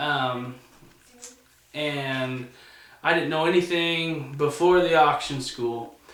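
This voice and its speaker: With noticeable background noise behind him, this man's voice has ordinary pitch variation. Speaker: auctioneer, student teacher. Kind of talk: instructional talk to camera.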